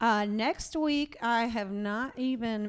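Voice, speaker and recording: With an American accent, a woman speaks in an ordinary speaking voice, fairly high in pitch with ordinary variation, on a very clean recording against a silent background. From Florida. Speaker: podcast host and powerlifting coach. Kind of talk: casual interview. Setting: garage gym.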